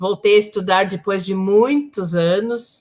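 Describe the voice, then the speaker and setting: A woman with a plain, everyday voice speaks at a medium pitch and a fairly slow pace, her intonation fairly even. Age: 60s. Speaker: community leader and social worker. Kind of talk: live panel discussion.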